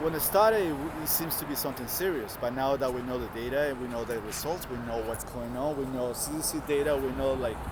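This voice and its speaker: A man with a Colombian accent talks very fast at a medium pitch, with hardly any pauses and ordinary pitch variation. Noticeable background noise and audible room echo fill the recording. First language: Spanish. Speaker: passerby. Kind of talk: street interview. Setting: outdoors on the street.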